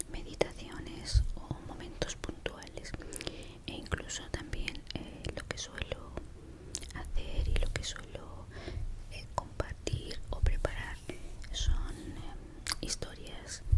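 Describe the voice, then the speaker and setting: A woman whispers in a relaxed tone at a very slow pace, with long, frequent pauses and big swings in loudness. Noticeable background noise runs underneath. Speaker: ASMR creator. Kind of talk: ASMR storytime, personal story told to camera. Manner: soft-spoken, relaxed, reflective.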